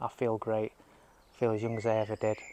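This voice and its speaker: A man's fairly low voice in a strong Yorkshire accent, monotone and flat in intonation. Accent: thick Yorkshire. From Yorkshire, northern England. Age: 50s. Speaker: lifestyle vlogger. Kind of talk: casual vlog monologue. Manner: rambling, hesitant with fillers.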